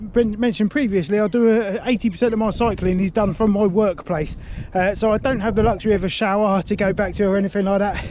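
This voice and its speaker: Speaking at a very fast pace with a British accent, a man uses a high pitch and fairly even intonation. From UK. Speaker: cycling vlogger. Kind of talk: casual vlog to camera.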